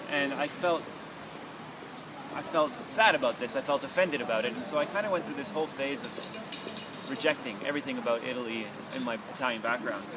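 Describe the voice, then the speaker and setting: Lively intonation marks this man's fairly high voice, delivered at a fairly quick pace in a Canadian accent. Noticeable background noise runs underneath. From Canada, Toronto. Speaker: radio broadcaster. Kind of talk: personal testimony.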